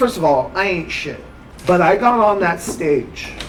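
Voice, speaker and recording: With music in the background, the speaker uses lively intonation at a moderate pace. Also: man. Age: 30s. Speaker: stand-up comedian. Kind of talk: interview. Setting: coffee shop. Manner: halting.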